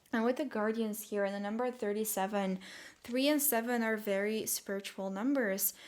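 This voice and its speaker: A woman speaks at a moderate pace with a fairly high pitch and fairly even intonation. The recording is very clean, with a silent background. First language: not English. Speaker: tarot reader. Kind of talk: tarot reading monologue. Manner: hesitant, many fillers.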